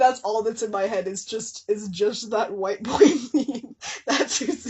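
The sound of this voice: Lively intonation in an unforced reading voice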